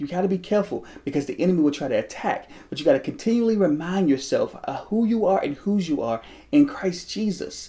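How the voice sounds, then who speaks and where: A man with a dark, mellow tone talks at a high pitch for his sex and a fairly quick pace. His pitch swings very widely, and he hardly pauses. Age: 30s. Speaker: motivational vlogger. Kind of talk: personal testimony. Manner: halting, repetitive.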